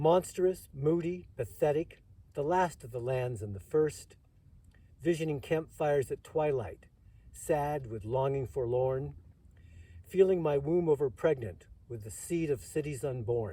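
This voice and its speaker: Speaking at a fairly slow pace, a man with a fairly high pitch has a somewhat breathy voice and a dark, mellow tone. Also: ordinary pitch variation. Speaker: Vietnam War veteran. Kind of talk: poetry reading.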